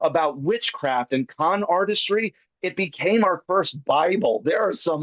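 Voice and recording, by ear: Over a quiet background, a passage is read aloud in a natural voice, the intonation lively throughout.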